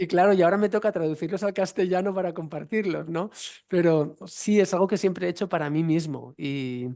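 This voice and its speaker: With a Catalan accent, a man talks at a fairly quick pace in a high-pitched voice with a dark, mellow tone and ordinary pitch variation, over a quiet background. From eastern Spain, Valencian region (Vinaròs). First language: Catalan (speaking Spanish). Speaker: yoga teacher and researcher. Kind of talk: online Q&A talk.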